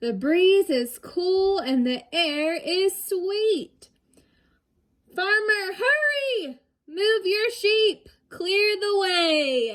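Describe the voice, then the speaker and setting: In a put-on character voice, a woman speaks very slowly and squeakily at an extremely high pitch, her loudness very even. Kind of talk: bedtime story. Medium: read story. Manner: warm, rhythmic, upbeat.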